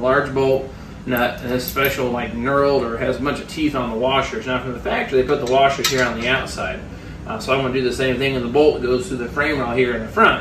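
Noticeable background noise sits under this recording. A man talks very fast, his intonation fairly even. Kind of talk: tutorial. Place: garage. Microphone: camera far.

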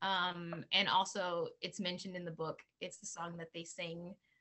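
The woman speaks at a medium pitch. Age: 40s. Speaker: author and actress; actress. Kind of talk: casual interview. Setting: video call. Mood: warm, animated. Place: home room. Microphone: video call.

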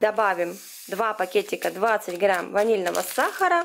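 The tempo is fairly slow. It is a woman who speaks.

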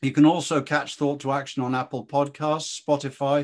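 Speaking at a fairly quick pace, a man talks with a British accent. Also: quiet background. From Britain. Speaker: interviewer and think-tank fellow. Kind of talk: interview discussion. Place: home room. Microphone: video call.

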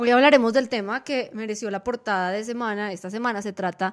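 Recorded very cleanly against a silent background, a woman with a plain, everyday voice talks at a fairly quick pace, her fairly high pitch kept to a fairly even intonation. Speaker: news podcast host and editor. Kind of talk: news podcast discussion. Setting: studio.

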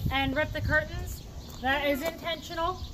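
A woman's fairly slow speech sits beneath loud noise in the background. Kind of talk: casual tour explanation. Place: farm machine. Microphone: camera far.

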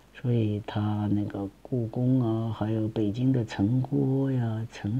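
A man's somewhat breathy, dark, mellow voice with fairly even intonation. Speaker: amateur commentator. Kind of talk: reading aloud with casual commentary. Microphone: phone near.

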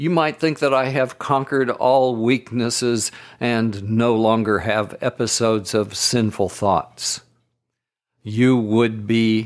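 Here a man speaks at a very slow pace. His voice sits at a medium pitch with ordinary variation. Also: very clean recording, silent background. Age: 70s. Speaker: missionary. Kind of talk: devotional podcast reading.

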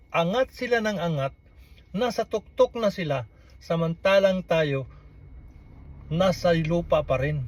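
A man's high-pitched, lively voice at a fairly slow pace, with long, frequent pauses. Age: 60s. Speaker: vlogger. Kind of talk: political commentary monologue.

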